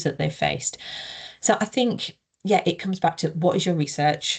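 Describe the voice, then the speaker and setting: A woman speaks with a northeast English accent at a fairly quick pace. Vocal fry creeps into her voice. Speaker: researcher, co-author presenting. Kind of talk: webinar Q&A discussion.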